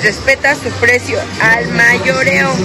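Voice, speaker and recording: Loud music plays in the background as the speaker goes at a very slow pace. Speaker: shopping vlogger. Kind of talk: casual vlog chat. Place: shop. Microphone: phone near.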